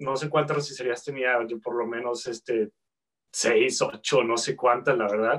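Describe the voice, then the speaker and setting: A man with a plain, everyday voice, medium in pitch, with fairly even intonation at a fairly slow pace. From Guadalajara, Mexico. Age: 30s. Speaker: chef, entrepreneur. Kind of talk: casual interview.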